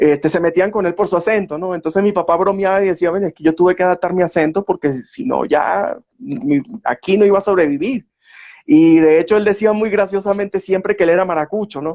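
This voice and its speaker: A man speaks at a fairly quick pace with ordinary pitch variation, recorded with a dry, close sound and no echo. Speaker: historian. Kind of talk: interview.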